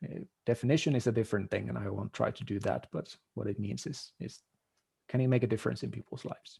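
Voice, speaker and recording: Speaking at a very fast pace with a non-native accent, a man uses a medium pitch, a dark, mellow tone, vocal fry and ordinary pitch variation. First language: not English. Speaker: marketing consultant. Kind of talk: podcast interview.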